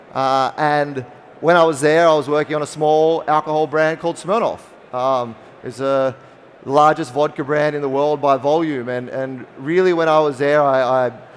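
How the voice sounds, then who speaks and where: With an Australian accent, a man speaks at a moderate pace in a fairly high pitch and fairly even intonation. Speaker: spirits company founder. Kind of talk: conference talk.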